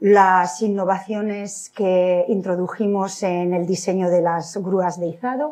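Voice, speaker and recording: The background is quiet. A woman talks in a dark, mellow tone. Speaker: civil engineer. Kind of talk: lecture. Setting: lecture hall with audience. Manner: halting, with frequent repetitions.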